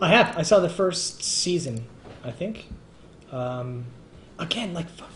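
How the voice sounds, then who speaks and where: A man with a Canadian accent speaks at a high pitch and a fairly slow pace, with lively intonation, long, frequent pauses and big swings in loudness, amid noticeable background noise and audible room echo. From Canada. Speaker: live stream host. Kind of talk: casual chat. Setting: live stream.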